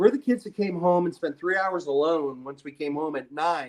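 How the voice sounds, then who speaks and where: A man talks with a Midwestern US accent. His pitch is high. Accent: US Midwest. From Ohio, Akron. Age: 50s. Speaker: podcast guest. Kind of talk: casual chat. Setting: live video stream.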